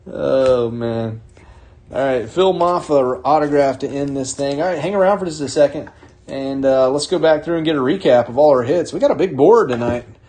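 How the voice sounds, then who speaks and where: A man with an American accent speaks at a moderate pace in a fairly high pitch, with ordinary pitch variation and noticeable background noise. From North Carolina. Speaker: card break host. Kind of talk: live card break commentary.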